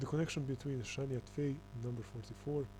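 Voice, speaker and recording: Audible room echo colors the recording. The man's speech carries a non-native accent. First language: not English. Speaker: conspiracy video commentator. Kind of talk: reading aloud with commentary. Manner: halting, many fillers.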